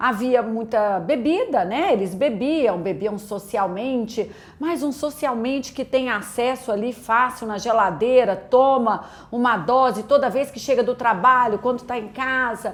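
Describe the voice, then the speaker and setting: A woman with a Minas Gerais accent and a high pitch speaks at a fairly slow pace over noticeable background noise. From Brazil, Minas Gerais (Belo Horizonte). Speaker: pastor. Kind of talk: testimony.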